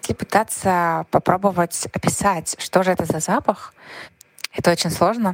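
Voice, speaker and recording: A woman with an ordinary speaking voice talks at a medium pitch and moderate pace, with fairly even intonation and a dry, close sound with no echo. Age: 30s. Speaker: podcast listener. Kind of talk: recorded voice message. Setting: recorded voice message.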